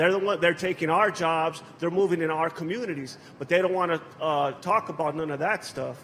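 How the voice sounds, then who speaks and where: With an American accent, a man speaks at a high pitch and a fairly quick pace, with hardly any pauses. Noticeable background noise runs throughout. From Los Angeles, US. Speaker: political activist. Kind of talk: panel speech. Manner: casual, hesitant.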